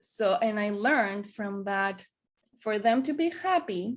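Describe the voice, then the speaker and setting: A woman speaks very slowly, with a Greek accent and a fairly high pitch. The recording is very clean, with a silent background. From Greece. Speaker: wellness coach. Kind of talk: interview conversation. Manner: hesitant, many fillers.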